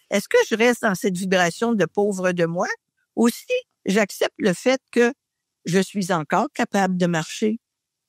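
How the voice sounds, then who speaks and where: A woman with a Quebec accent speaks at a fairly slow pace and medium pitch with ordinary pitch variation, captured as a very clean recording with a dry, close sound with no echo and a silent background. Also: big swings in loudness. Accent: Québécois French. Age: 70s. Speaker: podcast guest. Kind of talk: casual chat.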